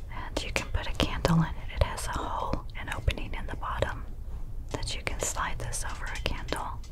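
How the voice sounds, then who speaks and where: Whispering at a fairly quick pace, a woman speaks. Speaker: ASMR creator. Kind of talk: whispered ASMR talk.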